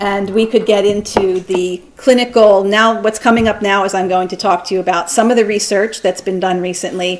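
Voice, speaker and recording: Noticeable background noise under a woman speaking at a medium pitch, her intonation fairly even. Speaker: doctor and lecturer. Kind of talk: lecture. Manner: fast.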